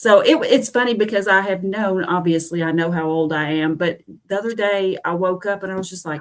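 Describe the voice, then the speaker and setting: A woman with an ordinary speaking voice and a medium pitch, at a fairly quick pace with ordinary pitch variation and big swings in loudness. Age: 50s. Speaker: keto study group member. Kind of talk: casual chat.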